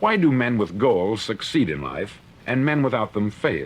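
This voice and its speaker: Lively intonation and vocal fry come through as a man with an American accent speaks at a medium pitch. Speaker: motivational speaker. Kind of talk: motivational spoken-word lecture, 1950s record. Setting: vintage studio recording. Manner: earnest, authoritative, measured.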